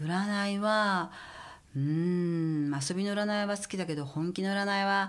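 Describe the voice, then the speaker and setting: Her pitch medium and varying in an ordinary way, a woman speaks at a very slow pace with audible room echo. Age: 50s. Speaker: stylist. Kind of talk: casual chat.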